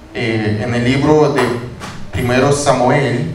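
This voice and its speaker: Speaking very slowly with a non-native accent, a man uses ordinary pitch variation amid noticeable background noise and audible room echo. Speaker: pastor. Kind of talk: sermon. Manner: halting.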